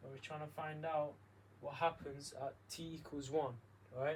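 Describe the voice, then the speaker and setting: With a somewhat breathy, fairly high voice, a man talks at a moderate pace and fairly even intonation. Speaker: maths tutor. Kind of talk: tutorial.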